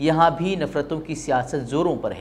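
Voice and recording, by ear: At a moderate pace, a man speaks with fairly high pitch and ordinary pitch variation.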